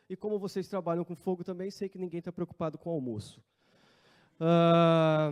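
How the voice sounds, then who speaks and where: A man's high-pitched voice with a Brazilian accent, fairly even intonation and a moderate pace, dry and close with no echo against a quiet background. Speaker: wildfire management coordinator. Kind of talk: conference talk. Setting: conference room with audience.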